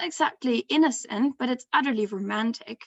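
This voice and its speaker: A woman speaks in a high voice. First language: not English. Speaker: graduate student presenting research. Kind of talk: academic conference talk. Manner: hesitant, frequent ums.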